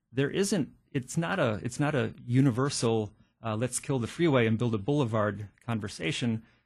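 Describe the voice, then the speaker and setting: Somewhat breathy and in an American accent, the voice moves at a moderate pace with lively intonation over a quiet background. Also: man, medium pitch for a man. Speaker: county supervisor. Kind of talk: radio interview.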